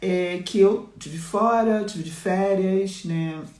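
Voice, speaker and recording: There is audible room echo in this clip. The speaker is a woman. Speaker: mentor and business coach. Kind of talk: live-stream talk to followers.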